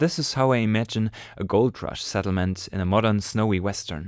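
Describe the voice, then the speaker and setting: On a very clean recording with a silent background, a man with a strong German accent speaks at a fairly low pitch. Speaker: amateur storyteller. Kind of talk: reading aloud a short story.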